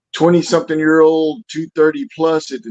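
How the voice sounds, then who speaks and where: At a moderate pace, a man with fairly high pitch talks in an ordinary speaking voice, the sound dry and close with no echo. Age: 60s. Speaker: Army veteran and boxing coach. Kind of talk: casual chat.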